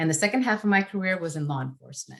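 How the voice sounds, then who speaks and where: A woman with a Spanish accent, talking at a very fast pace. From northern California, Yolo County. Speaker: redistricting commissioner. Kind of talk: prepared introductory remarks in a webinar.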